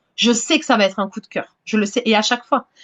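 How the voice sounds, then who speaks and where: A woman speaks fairly quickly in a fairly high pitch. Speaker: romance novelist. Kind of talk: casual interview chat. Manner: hesitant, many repetitions and fillers.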